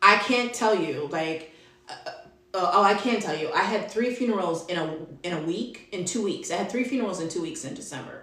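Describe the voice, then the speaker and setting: A woman with lively intonation at a moderate pace, with audible room echo and noticeable background noise. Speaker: network marketing coach. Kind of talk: live video talk. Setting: live video.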